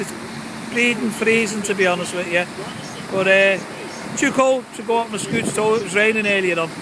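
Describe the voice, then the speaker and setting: Noticeable noise runs behind the voice. The delivery is fairly quick. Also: dry sound with no echo. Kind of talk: casual vlog chat. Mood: joking, jovial. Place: boat. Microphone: phone near.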